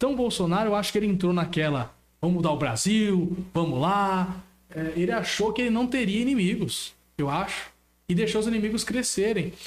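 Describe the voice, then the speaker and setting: A high-pitched man at a fairly quick pace, with lively intonation and very even loudness. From Brazil, São Paulo state. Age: 20s. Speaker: local politician. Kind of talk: political talk on a live stream.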